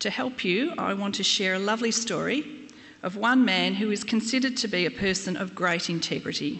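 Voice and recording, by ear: A text is being read aloud in a natural voice. Its pitch rises and falls by ordinary amounts.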